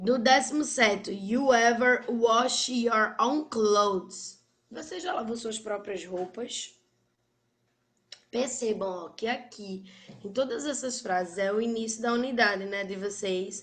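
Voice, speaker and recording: A woman talks at a very slow pace in a fairly high pitch, with ordinary pitch variation, big swings in loudness and audible room echo. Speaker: English teacher. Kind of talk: online class lecture.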